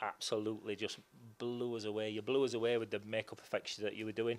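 The voice moves at a fairly quick pace. Its intonation is monotone and flat. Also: man. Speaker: independent filmmaker. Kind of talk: interview answer. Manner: casual, hesitant. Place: studio. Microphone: handheld.

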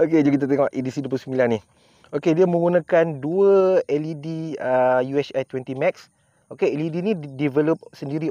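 A man's dark, mellow voice with ordinary pitch variation, dry with no echo, over a quiet background. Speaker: product reviewer. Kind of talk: casual product review chat. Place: open country.

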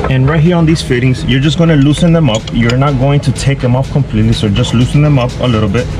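The speech comes at a very fast pace with very even loudness and ordinary pitch variation. Noticeable background noise sits behind it. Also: man. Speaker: boat owner DIY creator. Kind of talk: tutorial. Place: boat. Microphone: camera far.

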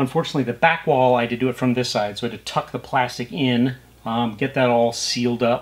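A man speaks very fast. There is light background noise. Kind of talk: tutorial. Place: home room. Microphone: camera far.

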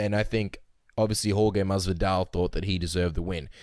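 A man with an Australian accent talks at a fairly quick pace in a fairly low pitch, his tone dark and mellow with fairly even intonation. The recording is very clean, with a silent background. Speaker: MMA podcast co-host. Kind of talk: casual interview and fight analysis chat.

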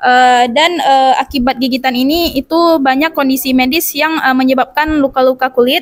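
Speaking at a fairly quick pace with hardly any pauses, a woman with a high pitch keeps her intonation fairly even and her loudness very even against a quiet background. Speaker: university student; presenter. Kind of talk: class presentation. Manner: halting, many filler sounds. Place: classroom.

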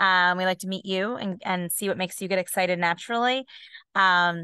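The background is quiet and the sound dry with no echo. A woman speaks at a moderate pace in a bright, sharp tone. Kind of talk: webinar presentation. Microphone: video call.

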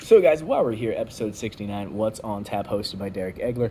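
A man speaks at a moderate pace in a dark, mellow, somewhat breathy tone. Light background noise can be heard. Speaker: beer review vlogger. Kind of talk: casual vlog chat. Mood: relaxed, opinionated. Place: home room. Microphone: phone near.

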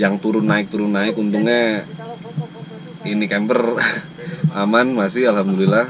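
Moderately paced speech from a man with a fairly low voice, plus noticeable background noise. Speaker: travel vlogger. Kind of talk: casual vlog chat. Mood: relaxed, cheerful. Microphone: phone near.

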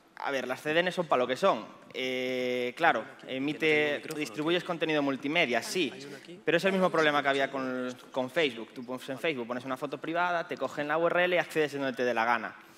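At a fairly quick pace, a man speaks with a Galician accent. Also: fairly high pitch for a man, ordinary pitch variation. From Galicia, Spain. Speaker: pentester and conference speaker; conference speaker. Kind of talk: conference talk. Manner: fast. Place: stage.

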